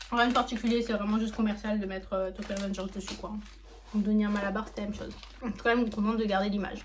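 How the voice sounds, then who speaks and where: Against noticeable background noise and audible room echo, a woman talks at a very fast pace broken by long, frequent pauses. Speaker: manga collector YouTuber. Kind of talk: casual unboxing vlog. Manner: hesitant, many fillers.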